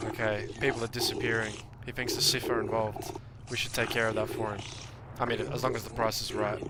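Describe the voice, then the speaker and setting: A very fast-talking man with an Australian accent, noticeable background noise and audible room echo. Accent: Australian, heard by a viewer as British. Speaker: gaming streamer. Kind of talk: casual livestream commentary. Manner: animated.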